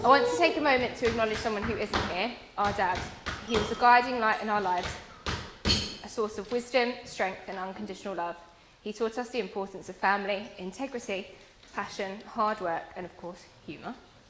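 Talking at a fairly quick pace, a woman shows ordinary pitch variation and big swings in loudness over noticeable background noise. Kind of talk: wedding speech. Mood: warm, emotional, some humour. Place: hall.

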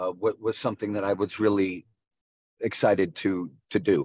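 In a normal speaking voice, a man with a fairly low pitch talks at a moderate pace with ordinary pitch variation, the sound dry with no echo. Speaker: guest. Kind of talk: interview answer. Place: car. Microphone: video call.

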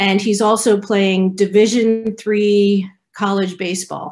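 At a very slow pace, a woman speaks over a quiet background. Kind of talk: interview answer. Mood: warm, cheerful. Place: home room. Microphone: earbuds.

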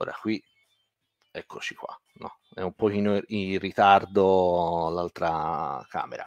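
A man is recorded in dry sound with no echo, against a quiet background. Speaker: guitar teacher. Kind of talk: live online lesson. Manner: hesitant, many fillers. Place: home room. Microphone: studio mic.

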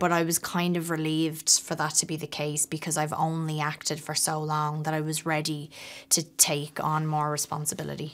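A woman talks at a moderate pace with hardly any pauses. Her very deep, low voice holds a monotone, flat intonation. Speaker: actress. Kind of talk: interview answer. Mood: reflective, lightly amused. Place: hall.

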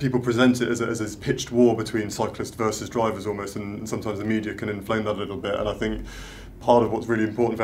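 In a London accent, a man talks at a very fast pace with a fairly low pitch and monotone, flat intonation over light background noise. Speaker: cycling events officer; guest. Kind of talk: panel Q&A. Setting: live video stream. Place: meeting room.

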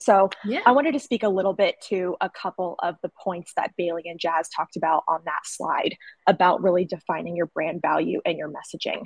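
Against a quiet background, a woman talks at a fairly quick pace with a dry sound that has no echo. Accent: Southern US. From US South, North Carolina. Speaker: sales rep, former graphic designer; sales rep. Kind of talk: webinar presentation. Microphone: webcam.

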